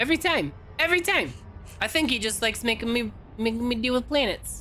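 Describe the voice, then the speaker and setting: A woman's fairly high voice at a very fast pace, with very wide pitch swings, very even loudness and music in the background. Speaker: video game streamer. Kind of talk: live gameplay commentary. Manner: animated.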